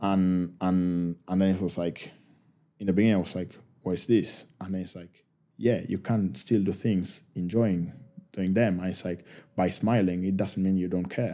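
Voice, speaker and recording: This man speaks in an Argentine accent with a very deep, low pitch. His tone is dark and mellow, his intonation fairly even. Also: moderate pace. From Argentina, Buenos Aires. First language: Spanish. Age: 30s. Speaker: professional rugby player. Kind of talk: casual interview.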